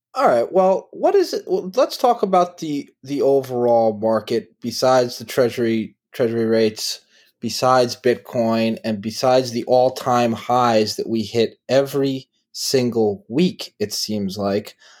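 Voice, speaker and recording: Over a very clean recording with a silent background, a man with a plain, everyday voice talks at a fairly slow pace in a medium pitch with ordinary pitch variation. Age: 30s. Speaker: podcast host. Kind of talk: casual chat.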